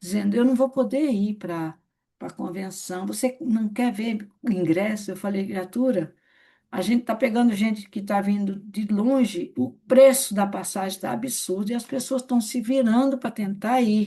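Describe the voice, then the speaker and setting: Somewhat breathy and fairly high-pitched, a woman speaks at a fairly slow pace with a dark, mellow tone and ordinary pitch variation. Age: 60s. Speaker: network marketing leader. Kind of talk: training session. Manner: conversational.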